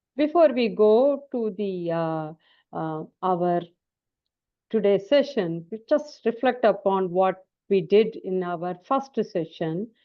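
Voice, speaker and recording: Very slow delivery in a South Indian accent, with lively intonation and long, frequent pauses. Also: woman. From India, Tamil-speaking. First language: Tamil. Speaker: communication trainer. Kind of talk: online training session.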